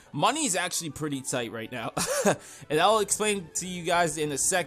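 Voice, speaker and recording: Faint music plays in the background. A man talks at a very fast pace. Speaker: gameplay commentator. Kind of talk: casual gaming commentary. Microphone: studio mic.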